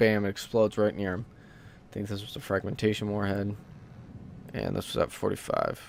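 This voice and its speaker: A man talks at a fairly quick pace. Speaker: gaming let's play creator. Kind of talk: casual gameplay commentary. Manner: hesitant, many fillers.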